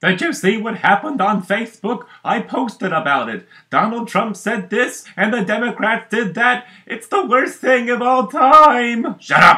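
A man puts on a cartoonish character voice pitched extremely high. He talks at a moderate pace. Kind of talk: comic sock puppet sketch.

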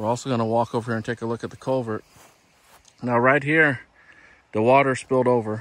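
Medium pitch and fairly even intonation from a man, delivered at a moderate pace

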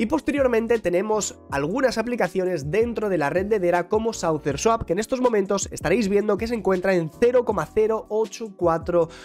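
Faint music plays in the background. Over it, a man talks at a moderate pace. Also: ordinary pitch variation. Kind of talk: commentary. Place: home room. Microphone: studio mic.

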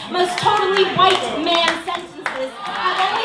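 A woman's raised, projected voice carries audible room echo and noticeable background noise. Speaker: slam poet. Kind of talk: poem performance. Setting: stage with audience. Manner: emphatic, rhythmic spoken-word delivery with mock-valley-girl fillers. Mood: sarcastic, passionate. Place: stage.

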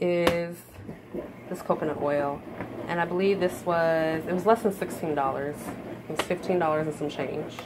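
Moderate-tempo speech from a woman, noticeable background noise behind her. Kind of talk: casual vlog chat. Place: kitchen. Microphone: phone near.

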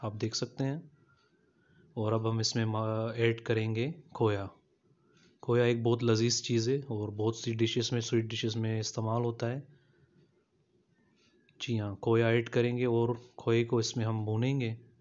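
Here a man talks at a fairly slow pace with monotone, flat intonation. He leaves long, frequent pauses. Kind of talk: cooking tutorial narration. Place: kitchen. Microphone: phone near.

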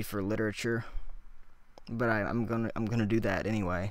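In a dry sound with no echo and a quiet background, a man talks at a moderate pace with fairly even intonation. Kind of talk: casual vlog chat. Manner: slow, halting, exhausted sleep-deprived speech. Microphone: studio mic.

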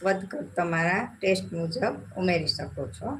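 A woman's voice with audible room echo. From Gujarat, Jamnagar (Saurashtra). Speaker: cooking channel host. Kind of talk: live cooking tutorial. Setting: home kitchen, live stream.

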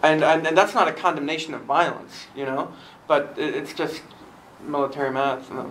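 Audible room echo surrounds a man who speaks at a moderate pace with fairly high pitch and fairly even intonation. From Germany. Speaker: translator, recent graduate. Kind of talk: panel discussion.

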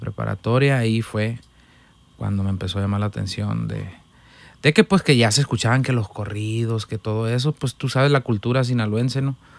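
An unremarkable speaking voice moves at a fairly quick pace with fairly even intonation. The sound is dry, with no echo. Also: man, medium pitch for a man. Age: 20s. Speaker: musician, accordionist; podcast guest. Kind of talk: casual chat. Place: studio. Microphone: studio mic.

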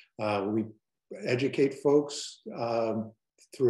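Speaking fairly slowly with an American accent, a man has a dark, mellow tone, with audible room echo in an otherwise quiet background. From Illinois. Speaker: advocacy group director. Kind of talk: webinar presentation. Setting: video call. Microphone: webcam.

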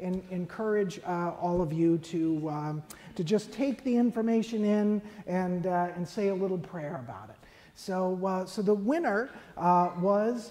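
Ordinary pitch variation and a fairly slow pace from a woman. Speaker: priest celebrant. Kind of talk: church announcement. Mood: gentle, pastoral. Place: church.

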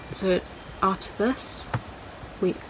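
Against noticeable background noise, a soft-spoken woman talks in a monotone, flat intonation. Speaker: photographer, art student. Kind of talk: casual talk to camera.

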